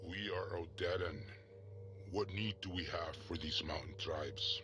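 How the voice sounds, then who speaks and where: A man does a put-on character voice at a moderate pace over loud background noise. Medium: video game. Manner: haughty, curt.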